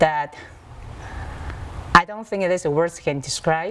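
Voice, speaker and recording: A woman with a Chinese accent and a fairly low pitch, heard over noticeable background noise. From Taiwan, Taipei. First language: Mandarin Chinese. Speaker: author. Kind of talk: TV interview. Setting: video call.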